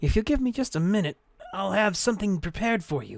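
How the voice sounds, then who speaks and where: A man puts on a character voice at a high pitch. He talks at a very fast pace with lively intonation. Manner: sweet, sugary.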